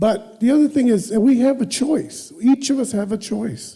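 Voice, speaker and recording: A man is speaking. His tone is dark and mellow. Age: 70s. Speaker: public commenter, Vietnam veteran. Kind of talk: public comment at board meeting. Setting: school board meeting. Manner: halting.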